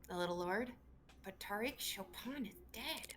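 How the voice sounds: A gruff, put-on character voice that sounds female, pitched at a medium level for a woman. It moves at a moderate pace with clear background noise behind it.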